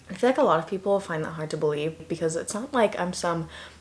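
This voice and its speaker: Fairly low-pitched and fairly quick, a woman talks with ordinary pitch variation over noticeable background noise. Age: 20s. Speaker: YouTuber. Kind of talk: casual vlog talk to camera.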